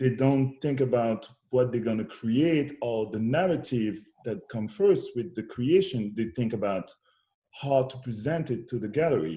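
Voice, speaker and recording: Dark and mellow in tone, the voice is somewhat breathy and moves at a fairly slow pace with lively intonation. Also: man, medium pitch for a man. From DR Congo. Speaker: musician and poet. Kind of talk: interview conversation.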